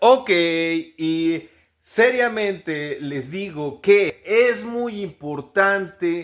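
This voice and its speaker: The tone is animated, with ordinary pitch variation. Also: man. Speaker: English pronunciation teacher. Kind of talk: tutorial.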